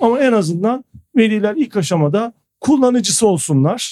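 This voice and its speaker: Speaking in a dark, mellow tone, a man uses lively intonation at a moderate pace. The sound is dry and close, with no echo. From Turkey (Ankara, Istanbul, Izmir, Kayseri). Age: 40s. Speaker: school founder and educator. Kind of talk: interview conversation. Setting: studio.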